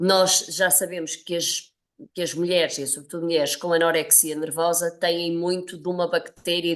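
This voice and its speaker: At a moderate pace, a woman talks at a fairly low pitch in an unremarkable speaking voice. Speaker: nutrition professor. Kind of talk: interview.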